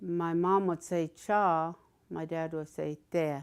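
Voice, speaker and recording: A woman with a Southern California accent speaks very slowly, her fairly low voice holding a fairly even intonation. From Southern California, Cahuilla reservation. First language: Cahuilla. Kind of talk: interview. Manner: halting.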